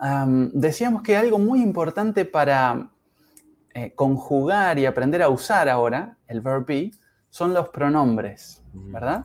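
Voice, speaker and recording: The delivery is very slow. Pitch swings very wide throughout. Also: man, fairly high pitch for a man. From Uruguay. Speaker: English teacher. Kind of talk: language lesson. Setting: live stream.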